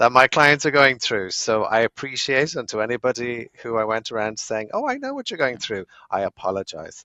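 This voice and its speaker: A man with a Dublin accent speaks at a fairly quick pace in a medium pitch, with ordinary pitch variation and hardly any pauses. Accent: Irish (Dublin). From Ireland, Dublin. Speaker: lawyer. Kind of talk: podcast interview.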